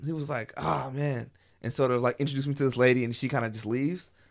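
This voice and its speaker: Over a quiet background, a man talks at a very fast pace with a medium pitch and ordinary pitch variation. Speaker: podcaster. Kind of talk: casual chat.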